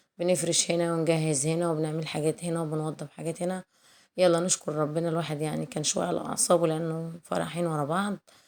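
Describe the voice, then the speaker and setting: A woman speaks at a moderate pace with a fairly low pitch, a flat monotone and hardly any pauses. The recording is very clean, with a silent background. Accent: Egyptian. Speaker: cooking youtuber. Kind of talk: casual chat. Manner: warm, chatty.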